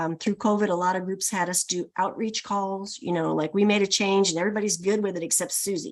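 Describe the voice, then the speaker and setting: Pitch moves in an ordinary way. The speech goes at a fairly quick pace. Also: woman. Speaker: employee assistance program executive. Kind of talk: webinar presentation. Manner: fast.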